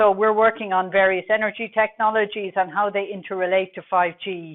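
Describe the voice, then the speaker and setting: A woman with a Dublin accent. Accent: Irish (Dublin). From Ireland, Dublin. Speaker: telecom research manager. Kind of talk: conference presentation.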